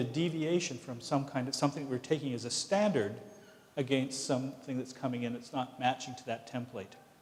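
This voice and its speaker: Over noticeable background noise, a man speaks with a fairly high pitch and fairly even intonation. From Canada, Vancouver (Pacific Northwest). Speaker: professor. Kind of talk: lecture Q&A answer. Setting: lecture hall with audience. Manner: halting, many restarts.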